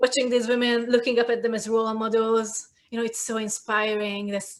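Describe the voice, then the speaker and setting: Her speech comes at a fairly quick pace, flat and monotone. The woman has a fairly high voice and a Hungarian accent. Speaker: cultural commentator, video creator. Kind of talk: casual chat.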